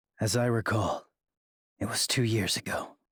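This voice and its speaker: A man puts on a raspy character voice at a medium pitch. He delivers it in a deadpan tone at a moderate pace. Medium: video game. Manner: deadpan, terse.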